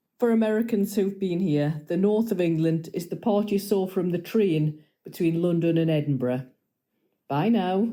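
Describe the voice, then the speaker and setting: The tone is dark and mellow with ordinary pitch variation, in a very clean recording with a silent background. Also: woman, medium pitch for a woman, moderate pace. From north of England. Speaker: podcast guest.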